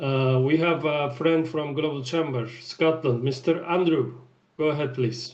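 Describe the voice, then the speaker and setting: In a Turkish accent, a man talks at a fairly slow pace with a fairly high pitch and fairly even intonation, and audible room echo surrounds him. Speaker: networking event host. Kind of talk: hosting online meeting.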